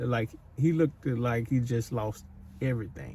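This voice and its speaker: A man's voice comes out dark and mellow in tone, and somewhat breathy. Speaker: psychic medium / channel host. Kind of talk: intuitive spirit-medium session to camera. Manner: casual, rambling, conversational.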